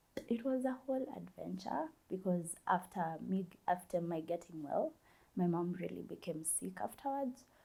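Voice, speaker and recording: A woman talks at a moderate pace with lively intonation. Her tone is dark and mellow, and somewhat breathy. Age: 20s. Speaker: university student sharing life story. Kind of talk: interview, personal testimony. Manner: halting.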